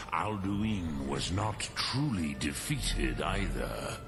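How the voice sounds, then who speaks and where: Over loud background noise, a man performs in a put-on character voice. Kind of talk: solemn ancient sage. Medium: game stream. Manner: slow, measured, mixing dragon-tongue words.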